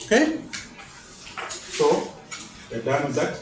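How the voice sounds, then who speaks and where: A man speaks at a fairly slow pace. The recording has audible room echo and noticeable background noise. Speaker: mathematics teacher. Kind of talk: classroom lecture. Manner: loud.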